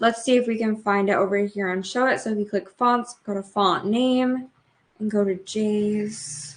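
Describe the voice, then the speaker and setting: An unremarkable speaking voice delivers the words at a moderate pace. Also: woman, fairly high pitch for a woman, ordinary pitch variation. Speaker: blogging coach. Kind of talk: tutorial. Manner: casual, filler-heavy.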